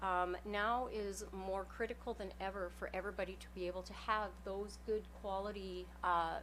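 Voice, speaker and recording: In a Canadian accent, a woman talks at a moderate pace, with audible room echo around her. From northern British Columbia, Canada. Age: 50s. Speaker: member of the public addressing council. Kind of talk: public delegation speech. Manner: hesitant with many fillers.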